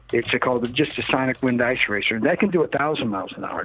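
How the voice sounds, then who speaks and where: A man with an American accent speaks at a very fast pace with ordinary pitch variation, noticeable background noise behind him. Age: 60s. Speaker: rocket and land speed car builder. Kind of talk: interview. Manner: animated.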